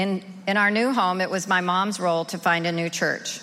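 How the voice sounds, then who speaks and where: A woman's medium-pitched, fairly even delivery at a moderate pace, a normal speaking voice. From rural Oklahoma, US. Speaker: recovery group member sharing her story. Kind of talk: testimony.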